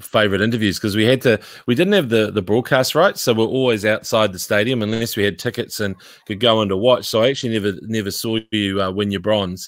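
A man's fairly low voice at a very fast pace, with fairly even intonation against a quiet background. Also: dry sound with no echo. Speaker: podcast guest. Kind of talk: interview answer. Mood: amused, reminiscing. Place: home room. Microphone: studio mic.

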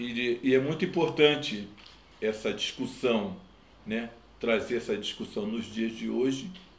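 A man speaks at a fairly slow pace with ordinary pitch variation. The room echo is audible. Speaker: grandson of a poet. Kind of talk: interview answer. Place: home room.

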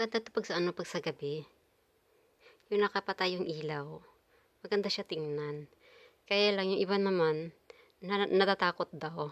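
A woman's voice at a moderate pace with big swings in loudness, ordinary pitch variation, and long, frequent pauses. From Philippines. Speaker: vlogger. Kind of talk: casual vlog talk; casual vlog chat. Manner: halting. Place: home room. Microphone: phone near.

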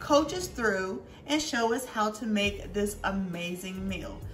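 Over clear music in the background, a woman talks at a very slow pace with ordinary pitch variation. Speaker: home cooking vlogger. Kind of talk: casual vlog chat. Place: kitchen. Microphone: camera far.

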